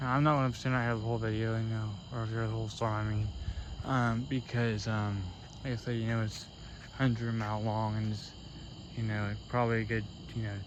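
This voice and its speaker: A man at medium pitch with an American accent, fairly quick but broken by long, frequent pauses, flat and monotone, with audible room echo. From US Midwest, Cincinnati, Ohio. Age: 20s. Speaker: storm chaser vlogger. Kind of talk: casual vlog commentary. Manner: halting, many fillers.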